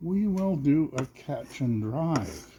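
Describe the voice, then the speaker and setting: Somewhat breathy and dark, mellow in tone, a man's voice swings very widely in pitch. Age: 60s. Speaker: cooking channel host. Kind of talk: casual cooking vlog chat.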